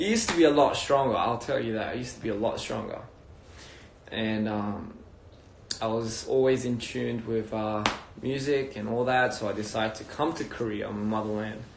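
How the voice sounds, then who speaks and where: Here a man talks with fairly even intonation. Audible room echo and noticeable background noise are present. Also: medium pitch for a man, moderate pace. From Australia (Wollongong, NSW). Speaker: music label founder. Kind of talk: casual livestream chat. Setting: Instagram live video stream. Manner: relaxed, hesitant with fillers.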